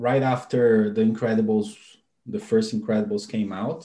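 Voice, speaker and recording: A man with a Brazilian accent speaks at a medium pitch in a dark, mellow tone, with ordinary pitch variation. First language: Portuguese. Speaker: animator and software tool developer. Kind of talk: interview.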